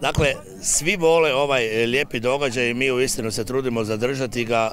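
A man talks at a moderate pace with ordinary pitch variation. The sound is dry with no echo, with light background noise. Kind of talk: interview answer. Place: open country. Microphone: handheld.

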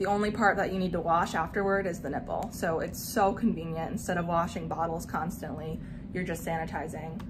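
Speaking at a fairly quick pace, a woman with a fairly low voice is heard over noticeable background noise. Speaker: mom product reviewer. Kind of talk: product review tutorial. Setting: home nursery. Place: home room. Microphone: phone near.

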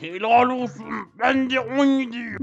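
Using a put-on character voice, a man speaks fairly slowly at an extremely high pitch. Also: fairly even intonation. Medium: machinima. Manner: simple broken sentences, naive.

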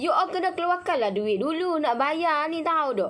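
Her intonation is lively. The woman keeps a moderate pace. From Malaysia. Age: 30s. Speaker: home business seller; online seller hosting a live stream. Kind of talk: live-stream sales chat. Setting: Facebook live stream. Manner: animated. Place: garden. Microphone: phone near.

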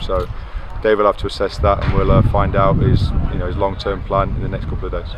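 A man with a low-pitched voice speaks at a fast pace in a monotone, flat delivery over clear background noise.

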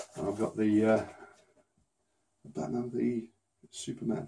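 A man's very slow voice with a British accent, medium in pitch, dark and mellow in tone, with ordinary pitch variation. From UK. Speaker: unboxing YouTuber; unboxing channel host. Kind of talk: casual unboxing vlog; casual vlog chat. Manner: subdued, less enthusiastic than usual; hesitant, many fillers.

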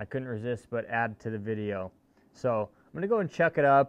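A man talks at a moderate pace. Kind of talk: casual tutorial vlog chat. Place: garage. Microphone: phone near.

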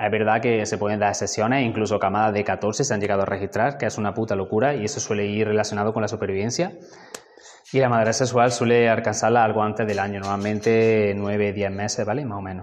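Talking at a very fast pace, a man keeps his fairly low voice in fairly even intonation. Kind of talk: casual informative talk to camera.

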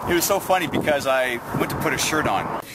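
A man at a moderate pace, dry sound with no echo, loud background noise behind him. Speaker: military veteran. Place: open country.

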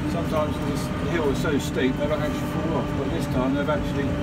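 Loud background noise runs under this recording. A man speaks at a fairly quick pace. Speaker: farmer. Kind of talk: casual commentary while driving. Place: farm machine. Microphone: phone near.

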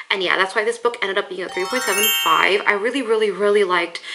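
Over noticeable background noise, a woman with a fairly high pitch talks at a very fast pace with ordinary pitch variation. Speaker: book reviewer. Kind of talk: casual talk to camera.

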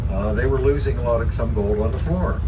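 A man speaks at a fairly quick clip while loud noise fills the background. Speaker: bus driver tour guide. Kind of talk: tour guide commentary. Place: bus.

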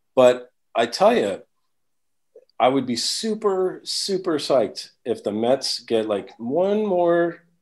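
A high-pitched man with an American accent, very slow in pace, with very wide pitch swings. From New York. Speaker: drummer. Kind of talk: casual chat. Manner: halting.

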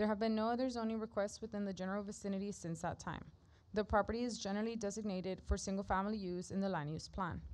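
A woman talks at a very fast pace with an American accent. Her intonation stays fairly even. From South Texas. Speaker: city planning staff. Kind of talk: formal staff report reading. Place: meeting room. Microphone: podium.

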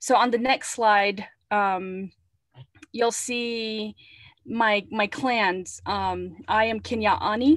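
A woman with an American accent speaks at a very slow pace in a fairly high pitch. Her intonation is fairly even, and the background is quiet. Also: dry sound with no echo. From Navajo Nation, northern Arizona. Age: 40s. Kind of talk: webinar presentation. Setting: video call.

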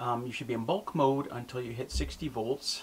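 Light background noise under a man's moderate-paced speech. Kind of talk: tutorial. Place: home room.

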